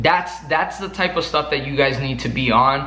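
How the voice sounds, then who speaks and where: With a strong Mexican accent, a man speaks at a moderate pace in a fairly high pitch. Audible room echo is present. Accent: thick Mexican. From Mexico. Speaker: sales coach YouTuber. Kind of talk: motivational talk to camera. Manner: animated.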